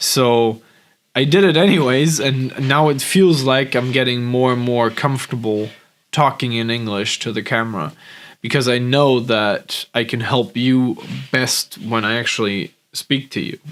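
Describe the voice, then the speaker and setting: A man with a German accent speaks at medium pitch and a fairly slow pace. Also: ordinary pitch variation. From Germany. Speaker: business coach. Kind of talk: vlog monologue. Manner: hesitant, many fillers.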